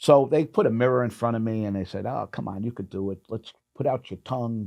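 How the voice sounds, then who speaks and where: The man's tone is dark and mellow, at a medium pitch. He talks at a fairly quick pace with ordinary pitch variation. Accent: American. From New York. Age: 60s. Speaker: clothing store owner and salesman. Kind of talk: casual interview chat.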